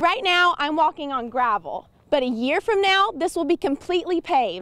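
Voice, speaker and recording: A woman with an American accent speaks at a moderate pace in an extremely high pitch with very wide pitch swings, her voice dry and close with no echo over noticeable background noise. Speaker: television news reporter. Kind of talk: TV news reporter package narration.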